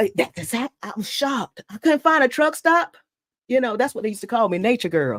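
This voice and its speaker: This woman speaks in a Southern US accent at a fairly high pitch, with very wide pitch swings and vocal fry. Her pace is fairly quick and her loudness rises and falls sharply. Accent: Southern US (Georgia). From Georgia, US South. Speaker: truck driver and podcast host. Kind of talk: casual chat. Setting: live stream.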